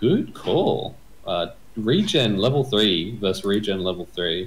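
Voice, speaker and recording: The man's fairly deep voice is somewhat breathy and moves through ordinary pitch changes. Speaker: game commentator. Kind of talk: live sports-style game commentary. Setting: video channel, recorded commentary. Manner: animated play-by-play, quick.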